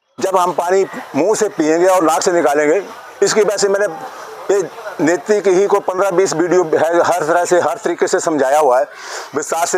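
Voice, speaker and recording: Against noticeable background noise, a man with a high pitch keeps a moderate pace and very even loudness, his intonation fairly even and his pauses long and frequent. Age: 70s. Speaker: yoga teacher. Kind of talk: instructional talk.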